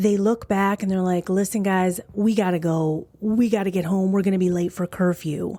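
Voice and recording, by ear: Fairly even intonation shapes this reading aloud in a natural voice.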